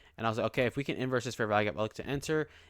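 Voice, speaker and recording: With a dry, close sound and no echo, a man speaks at a medium pitch with ordinary pitch variation. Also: very clean recording, silent background. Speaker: day trader and vlogger. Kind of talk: casual vlog trade recap. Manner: halting, many fillers.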